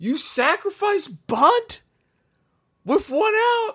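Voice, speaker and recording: A man talks in an animated tone. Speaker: sports podcast host. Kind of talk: solo sports rant. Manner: halting with repeated stammers.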